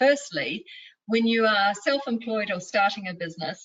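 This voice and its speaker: A woman with a New Zealand accent speaks at a moderate pace in a fairly high voice, her intonation lively. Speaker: mindfulness and leadership coach. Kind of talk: interview.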